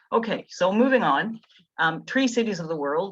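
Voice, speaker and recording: Speaking at a moderate pace with a Canadian accent, a woman's pitch swings very widely. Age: 70s. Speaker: tree planting volunteer presenter. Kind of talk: slide presentation talk. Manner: halting, many fillers.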